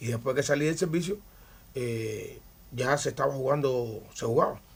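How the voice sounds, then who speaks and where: A man's fairly high, somewhat breathy voice with a Cuban accent, at a moderate pace and with ordinary pitch variation. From Cuba, Havana. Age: 60s. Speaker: retired baseball pitcher. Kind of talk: interview.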